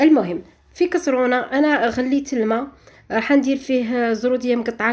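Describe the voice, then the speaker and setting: High pitch from a woman, with ordinary pitch variation. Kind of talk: tutorial. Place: kitchen.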